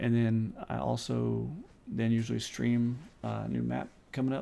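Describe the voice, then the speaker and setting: This man is soft-spoken. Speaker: game server owner. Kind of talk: live stream meeting.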